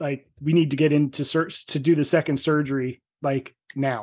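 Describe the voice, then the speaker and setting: An ordinary speaking voice with an American accent moves along at a moderate pace. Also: man. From New Jersey. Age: 40s. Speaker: health coach and author. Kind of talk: podcast interview.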